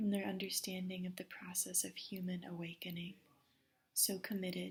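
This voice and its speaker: A soft-spoken woman talks at a moderate pace in a calm tone, her medium-pitched voice somewhat breathy and her intonation flat and monotone. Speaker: meditation guide. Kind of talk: guided meditation. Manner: soft, calm.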